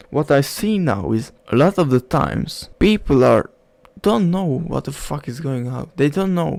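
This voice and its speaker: A man with a non-native accent talks at a fairly slow pace with lively intonation. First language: not English. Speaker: self-help vlogger. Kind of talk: casual monologue. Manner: halting.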